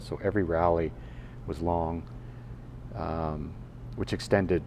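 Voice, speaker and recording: Very deep, low-pitched male voice at a moderate pace, ordinary pitch variation, audible room echo. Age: 60s. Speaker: podcaster. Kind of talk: casual monologue. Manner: halting, many fillers and restarts.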